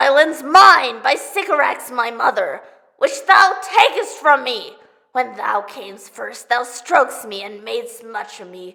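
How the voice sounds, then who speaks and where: A female-sounding voice performs a put-on character voice. The pace is moderate. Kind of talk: theatrical monologue, audition style.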